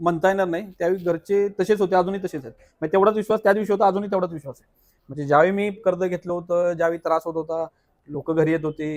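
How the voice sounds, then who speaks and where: Pitched high, a man talks with ordinary pitch variation and big swings in loudness, in a dry, close sound with no echo. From Satara, Maharashtra. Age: young. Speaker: hotel owner. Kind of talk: interview.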